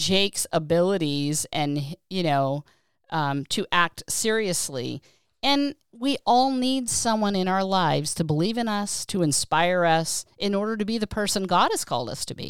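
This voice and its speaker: Very wide pitch swings from a woman at medium pitch, fairly slow pace, with a dry, close sound with no echo in a very clean recording over a silent background. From Pennsylvania. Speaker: podcast host. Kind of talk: casual chat.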